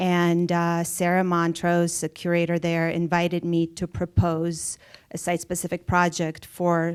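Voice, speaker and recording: A woman's fairly low, monotone voice in a Russian accent, fairly slow, dry and close with no echo, on a very clean recording with a silent background. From Soviet Russia, moved to US at twelve. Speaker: artist. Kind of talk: public conversation. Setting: theater stage with audience.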